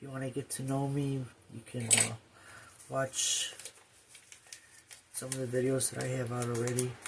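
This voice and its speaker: Soft-spoken and monotone, a woman with a very deep, low pitch talks at a moderate pace with long, frequent pauses over noticeable background noise. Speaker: quilting vlogger. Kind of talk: tutorial. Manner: casual with fillers.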